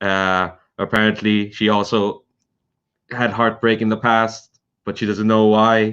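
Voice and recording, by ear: A man talks in a fairly low voice with a clear, smooth tone. His intonation is monotone and flat.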